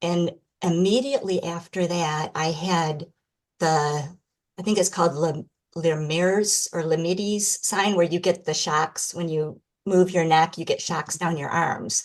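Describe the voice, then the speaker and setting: A woman with a Michigan accent speaks fairly slowly at a fairly low pitch, her intonation fairly even. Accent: American (Michigan). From Michigan, US. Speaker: podcast guest, person with MS. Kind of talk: interview testimony.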